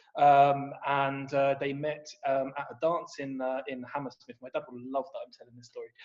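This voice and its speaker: In a southern English accent, the speaker keeps a moderate pace with hardly any pauses, a monotone, flat intonation and big swings in loudness. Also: man, fairly high pitch for a man. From England, Luton. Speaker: copywriter and poet. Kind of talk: podcast interview. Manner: hesitant, many fillers and repeats.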